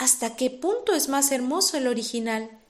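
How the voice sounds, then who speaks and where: The tone is calm and the intonation lively. Delivery is at a moderate pace. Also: woman. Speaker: audiobook narrator. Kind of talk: reading aloud.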